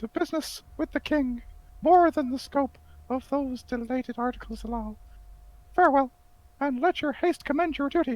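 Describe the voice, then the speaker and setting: A high-pitched, put-on character voice at a moderate pace, broken by long, frequent pauses. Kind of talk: amateur Shakespeare table read. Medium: stage play. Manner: grand, declamatory, rushing through long lines.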